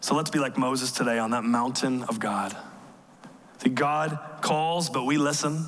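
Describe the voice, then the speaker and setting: There is noticeable background noise as a man speaks at medium pitch and a moderate pace. He uses fairly even intonation and long, frequent pauses. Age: 30s. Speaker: pastor. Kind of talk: sermon. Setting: church.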